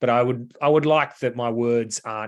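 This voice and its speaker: Someone speaks with an Australian accent at a moderate pace against a quiet background. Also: man. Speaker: metal band vocalist and lyricist. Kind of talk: podcast interview.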